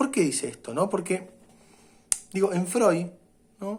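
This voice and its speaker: A man is speaking. His pitch is high. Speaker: university lecturer. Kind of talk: lecture. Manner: hesitant fillers and repetitions.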